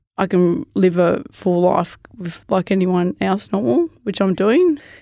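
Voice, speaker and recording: An Australian accent marks this woman's medium-pitched voice, which has ordinary pitch variation and a fairly slow pace in a very clean recording with a silent background. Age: 40s. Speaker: hiker living with Parkinson's disease. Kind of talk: casual interview.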